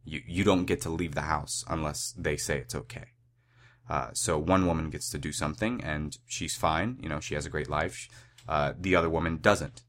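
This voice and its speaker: A man with a very deep, low pitch and vocal fry speaks at a moderate pace with lively intonation. The recording is very clean, with a silent background. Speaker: podcast host and activist. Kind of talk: solo monologue. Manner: hesitant, many filler words.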